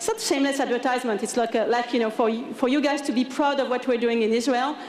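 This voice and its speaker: A woman with a French accent speaks in a high voice, with audible room echo and noticeable background noise. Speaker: tech company engineering manager. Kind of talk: conference talk. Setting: stage with audience. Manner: casual, hesitant with many fillers.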